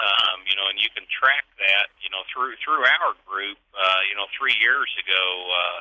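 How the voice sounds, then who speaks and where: Using a normal speaking voice, a man with a fairly low pitch talks at a fairly slow pace with ordinary pitch variation and hardly any pauses. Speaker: auction company executive, interviewee. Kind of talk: radio interview answer.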